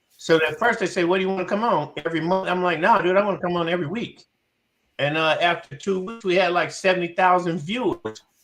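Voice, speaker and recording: Over music in the background, a man talks in a high pitch. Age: 60s. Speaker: music promoter and former TV show host. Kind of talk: casual chat. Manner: halting, with many fillers and repetitions.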